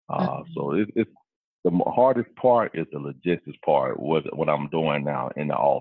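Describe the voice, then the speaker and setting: A man's very deep, low voice in a Mississippi accent, with lively intonation at a moderate pace. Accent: Southern US (Mississippi). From US South, Vicksburg, Mississippi. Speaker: wild horse program specialist, navy veteran. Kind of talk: interview.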